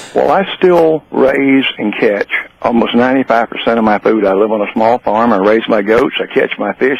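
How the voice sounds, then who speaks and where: Noticeable background noise sits behind a man speaking at a moderate pace and medium pitch. His pitch variation is ordinary, and the sound is dry and close with no echo. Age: 70s. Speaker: caller. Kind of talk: casual chat. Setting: phone call.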